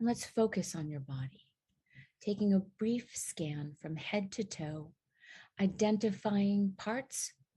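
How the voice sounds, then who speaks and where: Over a quiet background, a woman speaks very slowly at medium pitch in a calm, somewhat breathy voice with a dark, mellow tone and lively intonation. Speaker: therapist and podcast host. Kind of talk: casual podcast talk; guided meditation. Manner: calm, slow.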